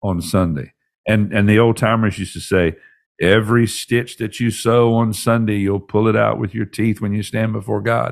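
Recorded very cleanly against a silent background, a man uses a normal speaking voice at a fairly low pitch and a moderate pace. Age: 60s. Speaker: pastor and leadership podcast host. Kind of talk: podcast teaching monologue. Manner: conversational, with frequent fillers and repetitions.

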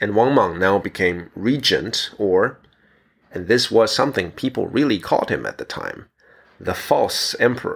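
A man talks at a moderate speed, captured in a very clean recording with no background sound. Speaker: podcast host. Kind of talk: history documentary narration, scripted-sounding storytelling. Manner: measured, clear, formal and informative with wry asides.

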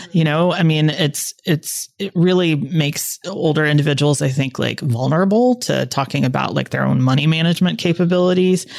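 A woman with a very deep, low pitch and ordinary pitch variation, at a fairly quick pace with hardly any pauses, over noticeable background noise. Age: 40s. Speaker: podcast co-host, psychologist. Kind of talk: casual chat.

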